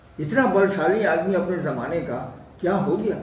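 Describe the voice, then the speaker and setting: A man's voice is heard with audible room echo. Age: 70s. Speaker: spiritual teacher. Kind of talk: spiritual Q&A discourse.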